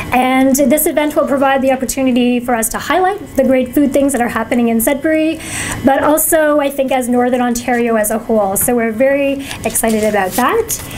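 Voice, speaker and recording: A woman speaks in a high voice at a fairly quick pace, with very even loudness and ordinary pitch variation. Noticeable background noise is present. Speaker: food policy council presenter. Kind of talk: presentation. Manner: fast.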